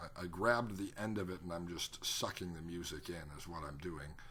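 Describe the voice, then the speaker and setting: A man with a very deep, low pitch and a bright, sharp tone speaks at a fairly quick pace. Audible room echo is present. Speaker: hypnotherapist. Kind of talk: tutorial. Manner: fast.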